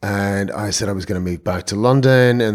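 This man has an Irish accent and a fairly low pitch. His pitch varies in an ordinary way. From Ireland, Donegal. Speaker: film producer. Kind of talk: interview.

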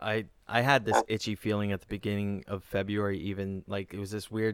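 Captured in a very clean recording with a silent background, a man with a normal speaking voice talks at a fairly quick pace and a fairly low pitch. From Kitchener, Ontario, Canada. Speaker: comedian and podcast host. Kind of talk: casual chat.

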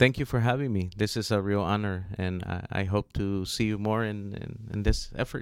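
A man with an American accent uses a plain, everyday voice at a fairly low pitch. His pace is moderate and his intonation fairly even. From US, Los Angeles (South Central). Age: 40s. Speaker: environmental justice advocate. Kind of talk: radio interview.

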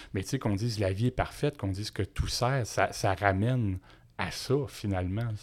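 A man with a Quebec accent, a fairly low pitch and ordinary pitch variation, at a moderate pace on a very clean recording with a silent background. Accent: Québécois French. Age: 50s. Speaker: entrepreneur. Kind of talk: casual interview. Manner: animated.

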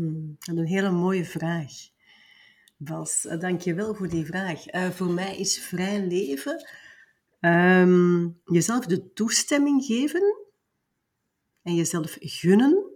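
Speaking at a very slow pace, a woman uses a medium pitch. Her voice is somewhat breathy, with long, frequent pauses. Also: lively intonation, big swings in loudness. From Belgium (Flanders). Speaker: business mentor. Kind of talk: interview.

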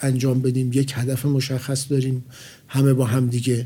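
A man talks at a moderate pace in a medium pitch, his tone dark and mellow. His intonation stays monotone and flat, and his voice is somewhat breathy. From Iran, Tehran. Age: 50s. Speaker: project manager, engineer. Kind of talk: interview. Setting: studio.

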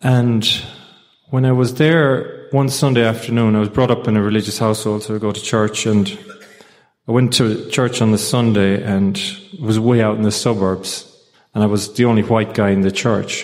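This man speaks with an Irish accent at a moderate pace, his medium-pitched voice keeping a fairly even intonation. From Ireland. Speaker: recovery group speaker. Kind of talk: testimony.

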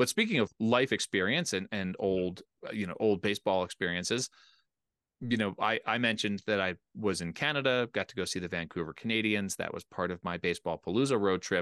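A man with a plain, everyday voice speaks at a fairly quick pace and a fairly low pitch, with ordinary pitch variation over a quiet background. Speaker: podcast host. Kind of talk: casual chat. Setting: home basement studio.

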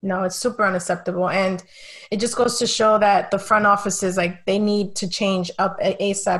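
A woman speaks at a medium pitch with a Spanish accent. Her intonation is monotone and flat, and her voice is somewhat breathy. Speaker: sports writer and podcast host. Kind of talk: casual chat.

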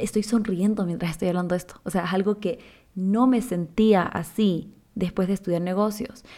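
A woman's normal speaking voice, medium in pitch and moderate in pace, with fairly even intonation and a very clean recording over a silent background. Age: 20s. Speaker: podcast host, nutrition student. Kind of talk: casual solo podcast monologue.

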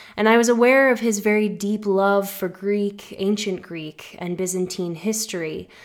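With an American accent and a plain, everyday voice, a woman talks at a moderate pace and a medium pitch, her intonation fairly even. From US, Massachusetts. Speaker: podcast host. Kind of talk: personal storytelling narration.

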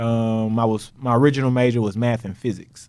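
This man talks in a monotone, flat intonation at a medium pitch, on a very clean recording with a silent background. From Texas. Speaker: math professor. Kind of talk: casual interview chat. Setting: studio, sitting across from host.

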